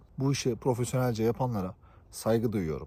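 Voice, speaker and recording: A man talks at a moderate pace, his voice somewhat breathy and his pitch variation ordinary. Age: 20s. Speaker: YouTuber, tech worker. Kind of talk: vlog monologue.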